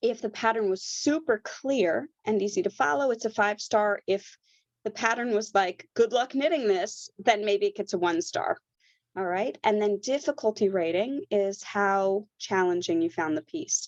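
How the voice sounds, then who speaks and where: Against a quiet background, a woman speaks at a fairly high pitch with lively intonation. Her pace is moderate, and the sound is dry and close with no echo. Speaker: knitwear designer and knitting instructor. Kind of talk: tutorial. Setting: online workshop with screen sharing.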